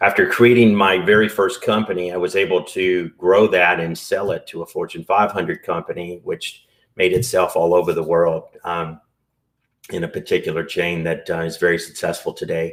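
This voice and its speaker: Captured on a very clean recording with a silent background, a man with a Southern US accent talks at a moderate pace. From US South. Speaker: entrepreneur and business broker. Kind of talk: podcast interview.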